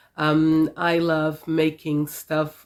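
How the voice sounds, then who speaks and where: This woman's voice sits very deep and low, captured in a very clean recording against a silent background. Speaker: sewing vlogger. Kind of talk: casual vlog talk. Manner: hesitant, many fillers.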